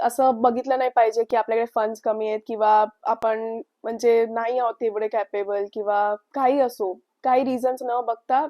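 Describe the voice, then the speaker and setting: A woman's ordinary speaking voice, fairly high in pitch, with fairly even intonation. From Mumbai, India. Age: 20s. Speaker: student baker entrepreneur. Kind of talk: interview testimony.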